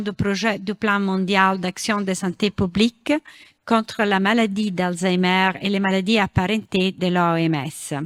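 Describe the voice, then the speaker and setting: A very slow pace with a non-native accent, in a dry, close sound with no echo on a very clean recording with a silent background. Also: woman. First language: not French (speaking French). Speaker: international association director. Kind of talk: reading a prepared talk.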